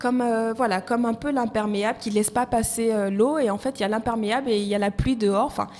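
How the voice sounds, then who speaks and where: A woman talks at a fairly quick pace with hardly any pauses. Her pitch sits fairly high. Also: fairly even intonation. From Côte d'Ivoire. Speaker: HR and recruitment professional. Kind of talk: podcast interview.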